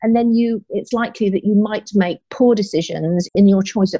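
A woman speaks at a fairly quick pace in a dark, mellow, somewhat breathy voice with ordinary pitch variation. The sound is dry and close, with no echo. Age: 50s. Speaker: business coach. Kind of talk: podcast interview. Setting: recording from home.

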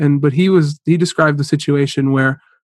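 A man speaks with an American accent. His voice is fairly high in pitch. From US Midwest, northeast Ohio. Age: 20s. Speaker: startup CEO and university student. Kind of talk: interview conversation. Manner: halting, many fillers and repeated words.

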